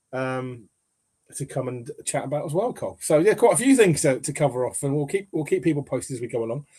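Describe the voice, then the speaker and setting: A man with an English accent and a fairly high pitch speaks at a very fast pace with lively intonation. His dark, mellow tone is somewhat breathy. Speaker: football podcast host. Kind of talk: casual chat.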